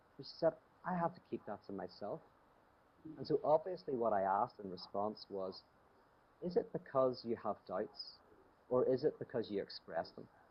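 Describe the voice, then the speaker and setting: A man with a Northern Irish accent speaks at a medium pitch and a moderate pace, with very wide pitch swings, big swings in loudness and long, frequent pauses. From Northern Ireland, Belfast. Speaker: theologian and speaker. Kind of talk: talk with Q&A. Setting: video call from home. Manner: conversational, with frequent fillers.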